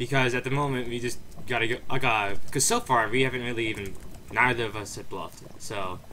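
The man speaks at a very fast pace. Noticeable background noise runs under his voice. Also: medium pitch for a man, fairly even intonation. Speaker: gaming youtuber. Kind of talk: casual gameplay commentary.

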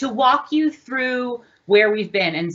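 Her pitch varying in an ordinary way, a woman speaks at a moderate pace. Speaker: meeting host. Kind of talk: meeting introduction. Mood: warm, welcoming. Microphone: webcam.

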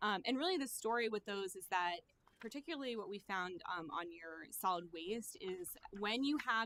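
A woman speaks with lively intonation. Her tone is bright and sharp. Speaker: financial consultant. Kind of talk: presentation to city council. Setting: council meeting. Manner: fast.

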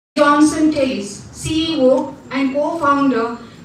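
A woman talks at a very slow pace with a high pitch and fairly even intonation. Light background noise and audible room echo are present. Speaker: assistant professor giving welcome. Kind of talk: formal welcome address. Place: hall.

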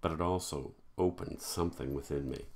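The voice has vocal fry. Light background noise can be heard. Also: man. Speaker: horror author. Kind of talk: horror story reading; self-recorded author reading with casual intro. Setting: home recording. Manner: casual, self-deprecating, humorous intro. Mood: dark, measured narration. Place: home room. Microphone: webcam.

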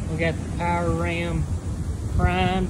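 A man speaks over loud background noise. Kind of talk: casual walkthrough commentary. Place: workshop. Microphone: phone near.

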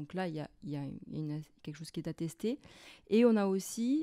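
A woman with a medium-pitched, dark, mellow voice speaks at a fairly slow pace with lively intonation, captured in a very clean recording with a silent background and a dry, close sound with no echo. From Corsica. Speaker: university lecturer in anthropology. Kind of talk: interview. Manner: halting.

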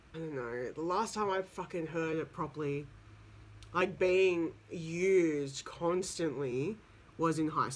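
In an Australian accent, a man with a high pitch speaks at a fairly slow pace in an animated tone, with ordinary pitch variation. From Sydney, Australia. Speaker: YouTuber reacting to music video. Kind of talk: casual reaction video commentary. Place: home room. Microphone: earbuds.

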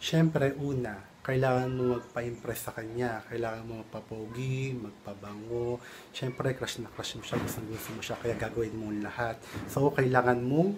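Noticeable background noise sits behind a man talking. He keeps a moderate pace and fairly even intonation. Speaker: vlogger. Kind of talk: casual vlog chat with tips. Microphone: phone near.

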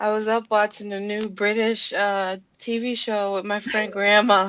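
Her pace is fairly slow. The woman's pitch shows little movement. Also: medium pitch for a woman, fairly bright tone.

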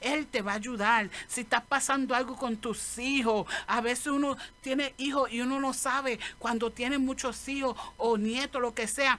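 A woman speaks at a moderate pace with few pauses, her pitch fairly high. Her tone is fairly bright and her intonation fairly even.

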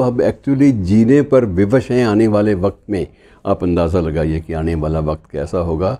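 Very slowly, a man speaks in a dark, mellow tone. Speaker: commentator. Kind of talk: commentary talk to viewers. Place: home room. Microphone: lapel.

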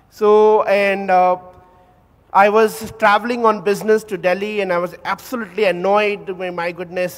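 A man is talking. His pace is moderate. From India, Calcutta; India. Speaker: audience member. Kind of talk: anecdote. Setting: hall with audience. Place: hall.

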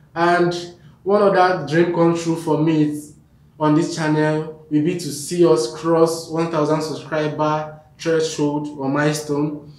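A man talks at a very slow pace in a fairly high pitch. His intonation is monotone and flat, with audible room echo. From Nigeria. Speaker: YouTube vlogger. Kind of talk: vlog to camera. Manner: halting. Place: home room.

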